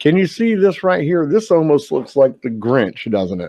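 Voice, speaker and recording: A man's fairly high-pitched voice with very wide pitch swings. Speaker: paranormal YouTuber. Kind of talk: casual video commentary. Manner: conversational, filler-heavy.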